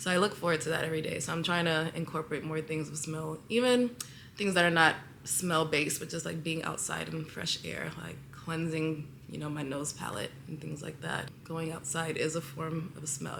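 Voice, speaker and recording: Amid audible room echo, a woman with a very deep, low pitch speaks at a moderate pace with fairly even intonation. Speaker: lifestyle vlogger. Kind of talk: casual vlog monologue. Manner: halting, many fillers.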